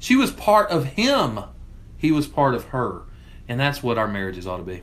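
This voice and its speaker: A loud, shouting man at a medium pitch and moderate pace, very wide pitch swings, audible room echo. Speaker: church minister and podcast co-host. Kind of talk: casual discussion. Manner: loud, can sound like yelling.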